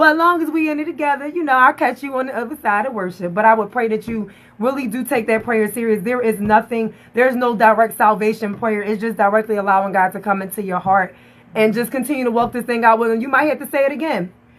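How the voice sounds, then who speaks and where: Animated in tone, the voice races at a very fast pace with ordinary pitch variation. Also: woman, fairly high pitch for a woman. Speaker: faith-based talk show host. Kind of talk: livestream interview with altar call. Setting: live social media stream. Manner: loud; animated, preachy.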